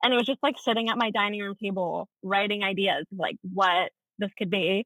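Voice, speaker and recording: A woman's medium-pitched, ordinary speaking voice with an American accent. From Texas. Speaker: actress and voice teacher. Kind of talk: casual interview.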